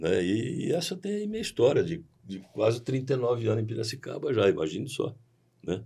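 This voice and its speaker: Vocal fry colors a man's voice as he speaks at a moderate pace with very wide pitch swings. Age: 60s. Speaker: agricultural cooperative president. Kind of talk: podcast interview.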